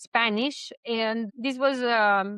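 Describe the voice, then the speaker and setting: A woman speaks with a Serbian accent. Her pitch is high. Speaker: vlogger. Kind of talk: personal vlog. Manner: hesitant, with fillers.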